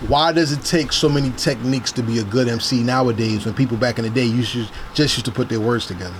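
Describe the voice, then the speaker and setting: A man at a medium pitch and a very fast pace, with a New Jersey accent, over noticeable background noise. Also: ordinary pitch variation. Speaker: podcast host. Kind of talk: interview. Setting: in person.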